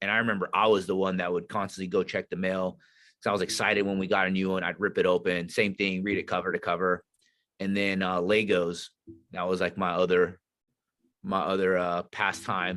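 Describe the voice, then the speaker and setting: A man with a very deep, low pitch and a bright, sharp tone talks at a fairly quick pace. His intonation is monotone and flat over a quiet background. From Northern California. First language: not English. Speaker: Navy SEAL veteran and leadership instructor. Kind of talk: podcast interview. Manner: casual, conversational.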